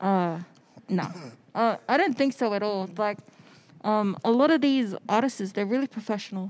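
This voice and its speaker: An Australian accent at a moderate pace, with ordinary pitch variation. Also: woman. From Australia (Sydney), born in the Cook Islands. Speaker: photographer; podcast guest. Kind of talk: casual chat. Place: studio. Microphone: handheld.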